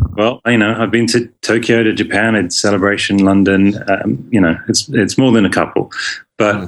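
In a plain, everyday voice, a man speaks at a moderate pace with a fairly low pitch, very even loudness and fairly even intonation. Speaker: actor. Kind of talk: casual chat. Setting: video call.

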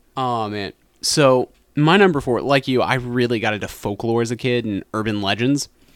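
A man with an unremarkable speaking voice and an American accent talks at a moderate pace and medium pitch with ordinary pitch variation, in a very clean recording with a silent background and a dry, close sound with no echo. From US South, western North Carolina. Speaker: podcast co-host. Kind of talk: casual chat.

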